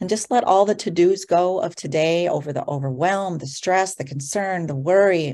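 A normal speaking voice from a woman, fairly low in pitch, at a moderate pace with ordinary pitch variation, in a very clean recording with a silent background. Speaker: entrepreneur and joy speaker. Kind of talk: guided meditation.

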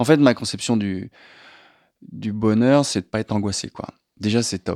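A man with a fairly low pitch talks at a moderate pace with ordinary pitch variation, in a very clean recording that has a silent background and a dry, close sound with no echo. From western France, La Rochelle. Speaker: screenwriter and film director. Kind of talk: casual interview.

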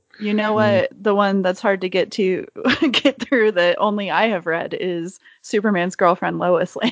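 A woman speaks in a plain, everyday voice with medium pitch. Her pace is moderate and her intonation fairly even. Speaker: comic and film fan guest. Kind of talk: casual chat.

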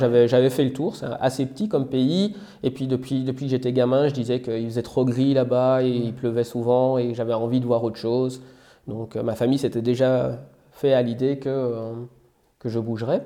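The voice has a dark, mellow tone and a slight Belgian accent. It moves at a moderate pace. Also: man, medium pitch for a man, fairly even intonation. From Belgium. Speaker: software developer. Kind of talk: interview. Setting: outdoors.

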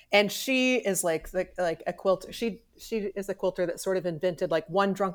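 An ordinary speaking voice with an American accent and ordinary pitch variation, on a very clean recording with a silent background. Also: woman. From Missouri. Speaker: textile artist. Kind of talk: interview.

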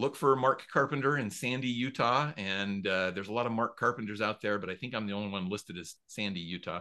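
In a quiet background, a man talks very fast with hardly any pauses, his fairly low voice bright and sharp in tone with ordinary pitch variation. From US Mountain West. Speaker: author and storytelling coach. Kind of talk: casual interview chat. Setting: remote call.

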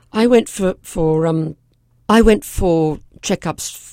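A woman with an English accent speaks in a dark, mellow tone with ordinary pitch variation. The recording is very clean, with a silent background. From England. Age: 70s. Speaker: physician and breast cancer survivor. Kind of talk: interview.

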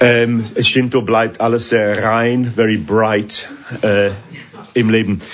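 Over noticeable background noise, a medium-pitched man speaks very slowly in a flat monotone at very even loudness. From northern England. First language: English (speaking German). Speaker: orchestra conductor. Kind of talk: interview. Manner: halting.

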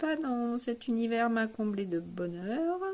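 A woman's very slow, somewhat breathy voice with a dark, mellow tone. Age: 60s. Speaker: amateur bass player, workshop participant. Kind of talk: testimonial. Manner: hesitant with many fillers.

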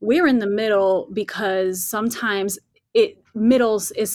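A woman speaks with an unremarkable speaking voice and ordinary pitch variation. Her pace is fairly slow. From Latin American roots. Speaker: church community leader. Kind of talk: casual chat.

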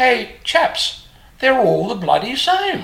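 A female-sounding put-on character voice, high in pitch, at a very slow pace

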